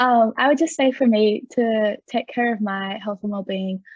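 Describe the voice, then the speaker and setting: A woman speaks with an Australian accent at a fairly high pitch, somewhat breathy. Her pace is moderate and her pitch variation ordinary. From far west New South Wales, Australia. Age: 20s. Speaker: young carer, university student. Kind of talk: panel discussion.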